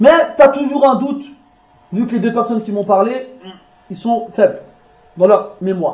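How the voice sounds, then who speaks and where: A man with an extremely high pitch speaks with big swings in loudness and long, frequent pauses, amid audible room echo. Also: ordinary pitch variation, moderate pace. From France. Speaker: Islamic preacher. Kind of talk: religious lecture. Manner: informal, conversational asides.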